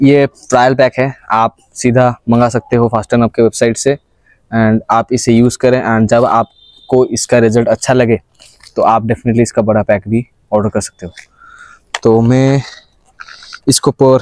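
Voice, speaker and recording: Over a quiet background with a dry, echo-free sound, a man speaks at a fairly slow pace in monotone, flat intonation, with long, frequent pauses. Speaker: fitness vlogger. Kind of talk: casual fitness vlog and sponsor promo. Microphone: lapel.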